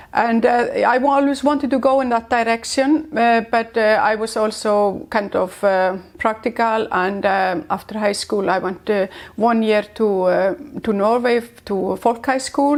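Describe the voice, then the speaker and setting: With an Icelandic accent, a woman talks at a fairly slow pace in a fairly high pitch, keeping her loudness very even and her pitch variation ordinary. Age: 60s. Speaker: entrepreneur. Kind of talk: interview. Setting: on location in Iceland. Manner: halting.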